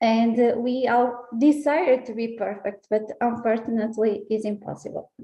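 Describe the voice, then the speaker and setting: The voice has a dark, mellow tone, fairly even intonation and a moderate pace. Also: woman, fairly high pitch for a woman, hardly any pauses. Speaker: scientist. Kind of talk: public talk. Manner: halting, many fillers.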